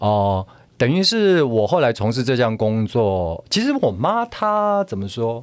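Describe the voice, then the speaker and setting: A man speaks at a fairly slow pace in a medium pitch, with very wide pitch swings and big swings in loudness, on a very clean recording with a silent background. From Taiwan, Taichung. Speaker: drama professor and actor. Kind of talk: interview conversation.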